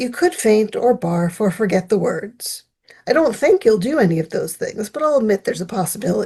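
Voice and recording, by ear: A quiet background behind reading aloud in a natural voice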